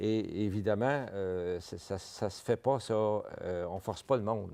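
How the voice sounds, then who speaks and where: A man with a Parisian accent speaks at a very slow pace in a fairly low pitch with a dark, mellow tone. His pitch variation is ordinary, and the background is quiet. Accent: rather Parisian French. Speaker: vice-president of a francophone health network. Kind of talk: TV interview. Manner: halting, with many repetitions.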